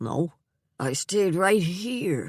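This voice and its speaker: In a put-on character voice, a man sounds raspy and shaky at a high pitch, recorded dry and close with no echo. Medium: read story. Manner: halting, confused.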